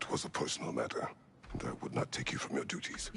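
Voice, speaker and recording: Over clear background noise, a man rattles along at a very fast pace in a put-on character voice. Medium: video game. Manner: terse, gruff.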